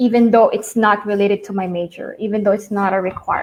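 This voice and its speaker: This woman speaks with a Filipino accent. Her fairly high voice stays monotone and flat. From northern Philippines. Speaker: entrepreneur, alumna. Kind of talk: interview.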